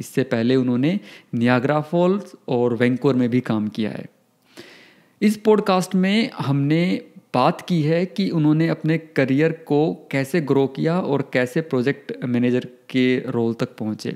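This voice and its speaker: Lively in intonation, a man speaks at a fairly high pitch with a slight Haryanvi accent. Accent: slight Haryanvi touch in Hindi. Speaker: podcast host. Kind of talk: podcast interview; scripted intro.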